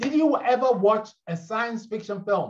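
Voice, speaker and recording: The man has a high-pitched voice. His tone is animated. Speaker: keynote speaker on leadership. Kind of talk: conference keynote. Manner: fast.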